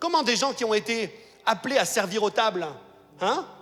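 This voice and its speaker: Animated and lively in his intonation, a man speaks at a moderate pace. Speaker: pastor. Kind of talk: sermon.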